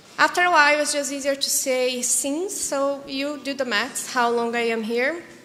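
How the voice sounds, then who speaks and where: In a room with audible echo, a woman with a Portuguese accent projects a raised, high-pitched voice with a bright, sharp tone, speaking at a moderate pace with hardly any pauses and ordinary pitch variation. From Brazil. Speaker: psychology practitioner and crisis support worker. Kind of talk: presentation.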